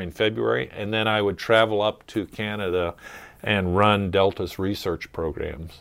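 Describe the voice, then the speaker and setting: At a moderate pace, a man uses a plain, everyday voice, fairly low in pitch, with ordinary pitch variation. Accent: American. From US Mid-Atlantic, Maryland (Chesapeake Bay). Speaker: wildlife biologist. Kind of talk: casual chat.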